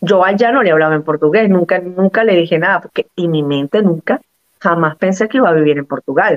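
A woman speaks in a plain, everyday voice at a fairly low pitch. Her pace is fairly quick, with ordinary pitch variation. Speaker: Venezuelan migrant guest. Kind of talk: interview.

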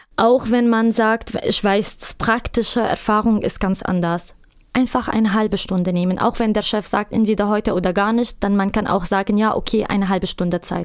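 A woman with an Arabic accent talks at a moderate pace and fairly high pitch, with very even loudness and fairly even intonation. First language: Arabic (speaking German). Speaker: migrant labor counselor. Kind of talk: interview. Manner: halting.

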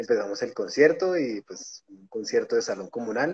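At a fairly quick pace, a man speaks in a dry, close recording with no echo. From Colombia, Bogotá. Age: 30s. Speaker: record label founder and punk musician. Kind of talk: casual chat.

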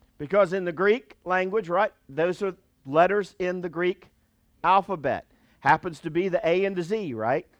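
Over a quiet background in dry, close sound with no echo, a man with an American accent speaks at a moderate pace in a high voice with ordinary pitch variation. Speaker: pastor. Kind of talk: sermon. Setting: church with live congregation. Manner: animated, call-and-response preaching, urging the congregation to say amen.

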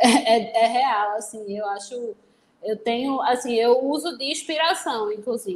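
This woman's voice sits high in pitch, and she talks at a fairly slow pace. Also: ordinary pitch variation. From Recife, Pernambuco, Brazil. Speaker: criminal lawyer. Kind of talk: casual interview.

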